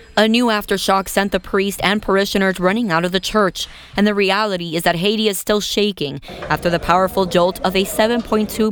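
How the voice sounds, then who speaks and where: A woman at a medium pitch and moderate pace, with fairly even intonation and very even loudness, over noticeable background noise. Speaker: news reporter. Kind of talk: news report voiceover.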